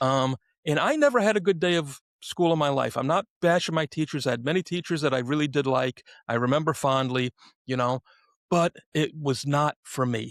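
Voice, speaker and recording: At a moderate pace, a man with a New York accent and a fairly high pitch speaks with ordinary pitch variation, the sound dry and close with no echo. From New York City. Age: 60s. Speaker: podcast host. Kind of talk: casual interview chat.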